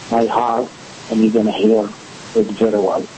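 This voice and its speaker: Medium-pitched male speech in a strong Egyptian accent, with noticeable background noise. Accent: heavy Egyptian Arabic. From Egypt, Port Said. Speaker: actor. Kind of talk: interview.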